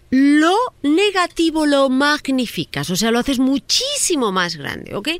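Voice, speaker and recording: Very wide pitch swings at a very slow pace. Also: woman. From Spain. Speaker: psychologist relationship advisor. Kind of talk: advice segment on radio.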